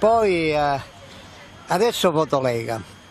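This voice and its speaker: The recording is dry with no echo. A man speaks at a fairly high pitch. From Calabria, Italy (Cosenza); Calabria, Italy. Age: 60s. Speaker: political supporter; interviewee. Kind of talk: street interview. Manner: halting. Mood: earnest, devout. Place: street. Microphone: handheld.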